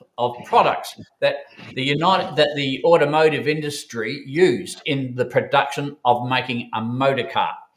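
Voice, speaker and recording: Speaking at a moderate pace, a man with an Australian accent talks at a fairly high pitch. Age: 70s. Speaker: bullion dealer co-founder, former engineering manufacturer. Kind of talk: interview. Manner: hesitant, many fillers.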